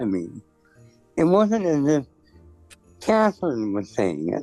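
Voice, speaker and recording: A man talks at a very slow pace as music plays in the background. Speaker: costume designer. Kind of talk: interview answer. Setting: phone line.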